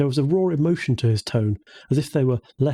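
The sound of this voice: The recording features an unforced reading voice.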